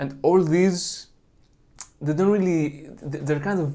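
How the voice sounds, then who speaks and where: Audible room echo surrounds a man speaking with a Greek accent and fairly even intonation. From Greece. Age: 20s. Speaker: religious video creator. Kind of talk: monologue lecture on apologetics.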